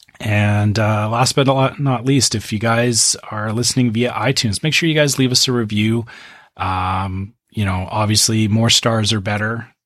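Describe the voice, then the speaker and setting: This man has an unremarkable speaking voice at a medium pitch. He keeps a moderate pace in a very clean recording with a silent background. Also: fairly even intonation. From Canada. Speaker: podcast co-host. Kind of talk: casual chat.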